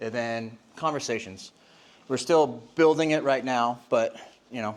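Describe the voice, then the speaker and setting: A man with a plain, everyday voice speaks at a medium pitch and fairly slow pace, with ordinary pitch variation. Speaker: industry presenter. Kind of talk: conference presentation.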